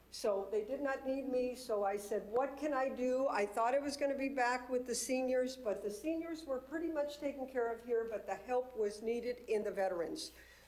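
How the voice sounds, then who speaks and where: With an American accent, a woman speaks in an unremarkable speaking voice, her pitch varying in an ordinary way. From southern California. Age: 60s. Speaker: nonprofit founder for veterans. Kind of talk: presentation at a public committee meeting. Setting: city committee meeting room.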